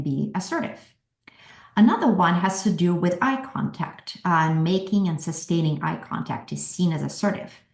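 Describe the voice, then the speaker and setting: Her voice carries an audible room echo as this woman talks. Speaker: workshop presenter. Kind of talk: virtual workshop presentation.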